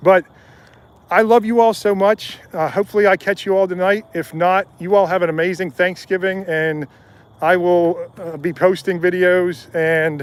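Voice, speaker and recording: Here a man with an American accent talks at a moderate pace. His pitch is high and his intonation fairly even. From US South, North Carolina. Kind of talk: live stream Q&A. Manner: halting.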